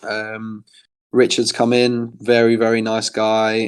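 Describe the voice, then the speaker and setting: Here is a man with an American accent. His pitch is medium. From England. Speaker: professional football goalkeeper. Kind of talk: fan Q&A. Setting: online voice chat. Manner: hesitant, many fillers.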